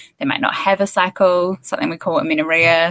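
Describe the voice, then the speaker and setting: A woman talking fairly quickly with an Australian accent, in a dry, close sound with no echo. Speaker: dietitian and women's health expert. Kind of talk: casual interview chat.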